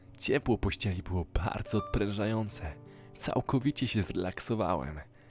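A man talks at a fairly low pitch as music plays in the background. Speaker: voice-over reader. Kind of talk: horror story narration.

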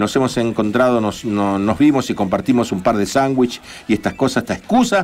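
Lively intonation runs through this man's speech. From Argentina. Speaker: radio co-host. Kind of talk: casual radio chat. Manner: animated. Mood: warm, friendly. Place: studio. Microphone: studio mic.

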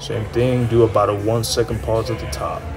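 The pace is moderate as a man talks. Behind him, clear music is playing. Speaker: fitness coach. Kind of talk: casual vlog chat.

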